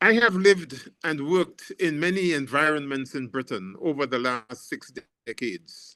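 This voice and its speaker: Bright and sharp in tone, a man with a fairly high pitch speaks at a moderate pace with lively intonation. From Grenada, Caribbean. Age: 80s+. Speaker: professor and anti-racist activist. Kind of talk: panel discussion answer. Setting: video call. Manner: repetitive, halting starts.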